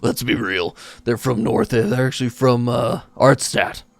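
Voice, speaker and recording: A man puts on a raspy character voice at a medium pitch. His pace is moderate. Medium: actual play. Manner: casual, relaxed.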